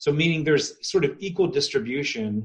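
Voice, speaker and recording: A man's fairly high voice, somewhat breathy, moves at a moderate pace with lively intonation. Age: 40s. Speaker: life coach and Enneagram teacher. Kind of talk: casual chat.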